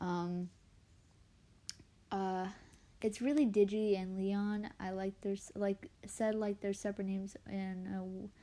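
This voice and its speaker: Quiet and dark, mellow in tone, the voice moves at a fairly slow pace with long, frequent pauses and fairly even intonation. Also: woman, medium pitch for a woman. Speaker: artist live streamer. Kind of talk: casual live stream chat. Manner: quiet, lowered voice; halting.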